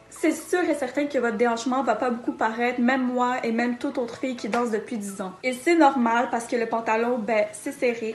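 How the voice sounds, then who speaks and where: A woman's high voice in a Quebec accent, fairly quick with hardly any pauses and ordinary pitch variation, over noticeable background noise. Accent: Québécois. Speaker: dancer teaching dance. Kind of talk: tutorial.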